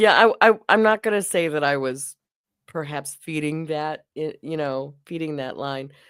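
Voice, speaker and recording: This woman's pitch is very deep and low, with ordinary pitch variation. Her fairly slow delivery comes through on a very clean recording with a silent background. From US Midwest, Wisconsin. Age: 50s. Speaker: livestreamer. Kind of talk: casual chat. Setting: livestream.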